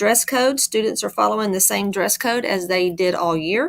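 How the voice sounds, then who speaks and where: A woman talks in a plain, everyday voice at a moderate pace. Her pitch is medium, with ordinary variation. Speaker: school administrator. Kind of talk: staff briefing video.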